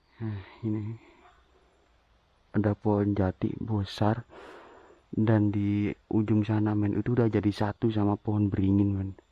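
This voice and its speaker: Quiet and fairly slow, a man talks in a fairly low pitch with a dark, mellow tone and monotone, flat intonation. Long, frequent pauses break up his speech, and the sound is dry and close with no echo. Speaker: explorer vlogger of sacred graves. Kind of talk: walking vlog narration. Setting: outdoors in forest graveyard. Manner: quiet, lowered volume.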